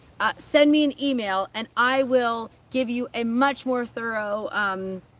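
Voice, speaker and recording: High-pitched with ordinary pitch variation, a woman talks at a fairly slow pace. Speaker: seed shop owner and gardener. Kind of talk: live stream chat. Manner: halting.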